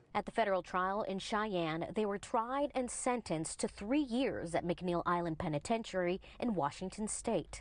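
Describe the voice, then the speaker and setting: A woman's normal speaking voice at medium pitch, lively in intonation, at a moderate pace with hardly any pauses, against a quiet background. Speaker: news reporter. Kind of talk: TV news narration.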